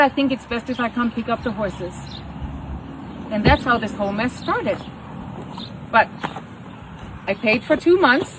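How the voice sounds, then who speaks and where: Over noticeable background noise, a woman with a German accent speaks at a high pitch and moderate pace, with ordinary pitch variation and long, frequent pauses. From Germany. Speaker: horse rescue owner. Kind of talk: personal video statement. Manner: animated.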